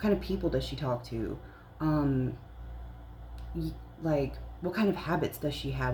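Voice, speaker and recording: The woman speaks at a moderate pace, with audible room echo. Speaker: spiritual content creator, psychic reader. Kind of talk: casual spiritual talk to camera. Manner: whispering briefly; casual, filler-heavy.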